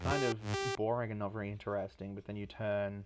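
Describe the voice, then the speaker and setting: Fairly low male voice with fairly even intonation over music in the background. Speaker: music producer. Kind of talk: livestream album breakdown. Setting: livestream. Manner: soft-spoken; casual, filler-heavy.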